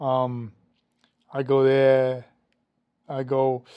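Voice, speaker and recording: A man speaks with a New York accent. His tone is dark and mellow. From New York City (Brooklyn/Queens). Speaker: actor and producer. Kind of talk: casual chat. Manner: animated, repetitive stammering starts.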